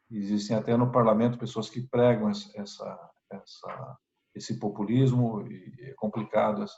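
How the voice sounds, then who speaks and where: A man with a Brazilian accent, medium pitch, a dark, mellow tone, a somewhat breathy quality, fairly even intonation and a moderate pace. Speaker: member of parliament. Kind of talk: interview. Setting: video call. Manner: halting, many repetitions and fillers.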